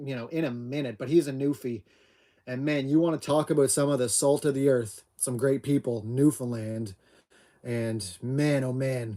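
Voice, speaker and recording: A Maritime Canadian accent with a dark, mellow tone, fairly even intonation and a moderate pace. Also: man, medium pitch for a man. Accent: Down East Canadian. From Atlantic Canada. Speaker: homesteader livestream host. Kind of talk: casual live chat.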